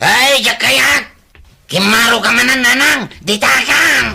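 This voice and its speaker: A man uses a put-on character voice at an extremely high pitch. He speaks at a very slow pace. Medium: audio drama. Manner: loud, blustering.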